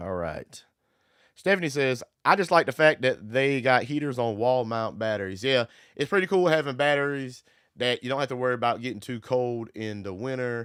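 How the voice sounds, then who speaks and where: In a very clean recording with a silent background, a man talks fairly quickly at a medium pitch with lively intonation in a normal speaking voice. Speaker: solar power YouTuber. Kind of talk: live stream chat. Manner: casual.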